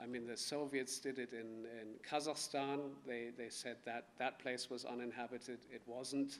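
A German accent in a monotone, flat delivery at a moderate pace, over light background noise. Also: man. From Germany (Bavaria). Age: 30s. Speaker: author. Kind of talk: book talk with reading aloud. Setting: stage with audience. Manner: halting. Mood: calm, reflective. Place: hall. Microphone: podium.

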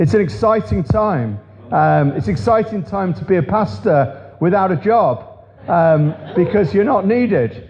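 There is music in the background. A man speaks at a fairly slow pace. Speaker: preacher. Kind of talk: sermon. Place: church.

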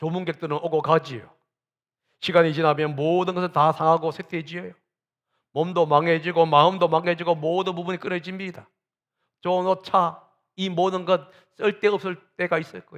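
Against a quiet background, a man with a high pitch talks at a moderate pace in a monotone, flat intonation, leaving long, frequent pauses while his loudness swings widely. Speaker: pastor. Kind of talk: sermon.

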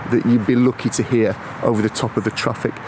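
A man at a fairly quick pace, in dry sound with no echo, over noticeable background noise. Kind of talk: casual vlog chat. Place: forest. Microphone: phone near.

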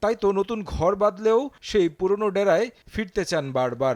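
Recorded in a dry, close sound with no echo, a man speaks with lively intonation at a high pitch. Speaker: sports news reporter. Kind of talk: scripted narration.

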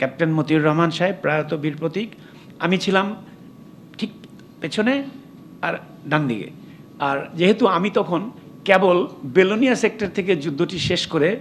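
Over light background noise, a man talks in a high pitch with ordinary pitch variation. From Bangladesh. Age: 70s. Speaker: retired army general, war veteran. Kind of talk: commemorative speech. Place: hall. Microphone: podium.

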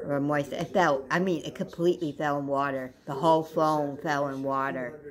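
Over noticeable background noise, a woman speaks at a moderate pace in a very deep, low pitch with a monotone, flat intonation. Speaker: vlogger. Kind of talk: casual vlog chat. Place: home room. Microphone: phone near.

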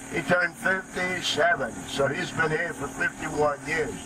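A man at a moderate pace with ordinary pitch variation, over loud background noise. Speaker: boat pilot tour guide. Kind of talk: tour guide narration. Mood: jokey, friendly. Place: boat.

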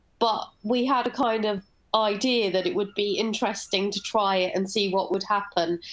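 At a moderate pace, a woman with a British accent speaks at medium pitch, her intonation fairly even and her loudness very even. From UK. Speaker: bio artist; presenter. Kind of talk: online panel presentation. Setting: video call. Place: home room.

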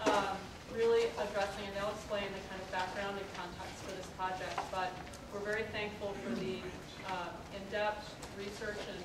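Loud background noise runs under the speech, and the room echo is audible. The pace is moderate. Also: woman. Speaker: forum host. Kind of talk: meeting introduction and announcements. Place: meeting room. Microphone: camera far.

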